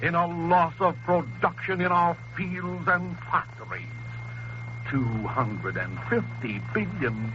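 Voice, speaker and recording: With music in the background, a speaker with an American accent talks at a very slow pace. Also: man. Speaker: priest, political radio commentator. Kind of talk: political radio address. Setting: 1930s radio broadcast. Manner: impassioned, oratorical.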